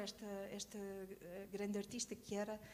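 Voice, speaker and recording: A woman is speaking at a moderate pace. Her pitch is fairly high. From Portugal, Lisbon. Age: 60s. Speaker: choreographer and teacher. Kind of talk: testimony. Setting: conference with audience. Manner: hesitant, many fillers.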